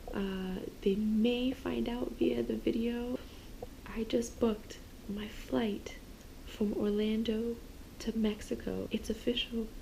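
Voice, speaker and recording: A woman whispers at a very slow pace with long, frequent pauses, against noticeable background noise. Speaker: travel vlogger. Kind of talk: casual vlog talk to camera. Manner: whispering.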